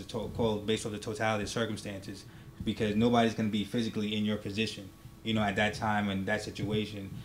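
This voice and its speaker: Amid audible room echo, a man talks at a very fast pace with monotone, flat intonation. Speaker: military veteran and law enforcement officer. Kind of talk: casual talk show discussion. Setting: studio. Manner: normally loud, holding it down.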